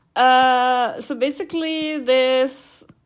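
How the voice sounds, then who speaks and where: A woman speaks with a non-native accent and ordinary pitch variation. The recording is very clean, with a silent background. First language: not English. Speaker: YouTuber and illustrator. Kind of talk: casual livestream chat while drawing. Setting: livestream. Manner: halting, many fillers.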